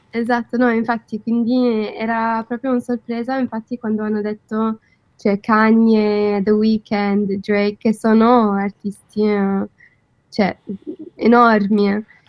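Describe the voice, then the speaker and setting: Very slow, with long, frequent pauses, a woman with an English accent speaks at fairly high pitch in monotone, flat intonation, the sound dry and close with no echo. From London, England. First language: English (speaking Italian). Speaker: content creator. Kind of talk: radio interview. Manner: halting.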